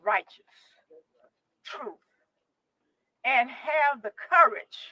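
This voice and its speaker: Very slowly, a woman with a Tennessee accent speaks in a high, bright, sharp voice with very wide pitch swings, the sound dry and close with no echo. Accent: Southern US (Tennessee). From US South, Tennessee. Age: 70s. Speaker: retired judge and rally speaker. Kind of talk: rally speech. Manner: impassioned.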